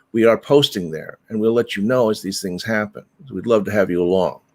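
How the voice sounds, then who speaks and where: On a very clean recording with a silent background, a man with a medium pitch talks at a moderate pace with lively intonation. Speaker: meditation teacher. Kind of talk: live stream announcements. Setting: live broadcast to Facebook and YouTube. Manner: halting.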